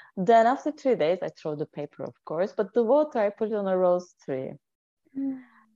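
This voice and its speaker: In a Turkish accent, a woman speaks at a medium pitch and moderate pace, with very wide pitch swings and a dark, mellow tone. The sound is dry and close with no echo, over a quiet background. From Turkey (Anatolia). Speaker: intuitive healer and life coach. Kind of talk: casual interview chat.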